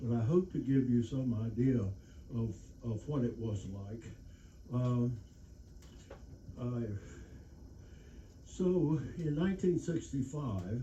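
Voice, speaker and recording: Lively intonation marks a man speaking at a very slow pace. Long, frequent pauses and audible room echo fill the clip. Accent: American. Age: 80s+. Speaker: war veteran. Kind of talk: lecture. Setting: stage with audience. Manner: halting.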